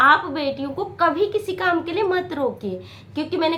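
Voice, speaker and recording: A fairly slow-paced female voice with ordinary pitch variation. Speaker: motivational video maker. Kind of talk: motivational talk to camera. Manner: halting.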